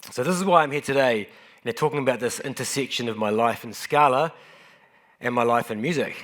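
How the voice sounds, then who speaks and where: At a very fast pace, a man with a New Zealand accent speaks at medium pitch with ordinary pitch variation in a very clean recording with a silent background. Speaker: software engineer and conference speaker. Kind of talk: conference talk. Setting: stage with audience. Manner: casual, self-deprecating with frequent fillers.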